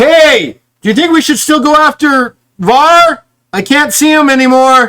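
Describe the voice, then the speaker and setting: A man performs a put-on character voice at an extremely high pitch. He is loud. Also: moderate pace. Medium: actual play. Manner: loud, booming, eager.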